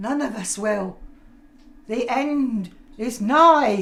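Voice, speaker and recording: A put-on character voice, female-sounding, at a very slow pace. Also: fairly high pitch for a woman. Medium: audio drama. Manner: theatrical, gushing.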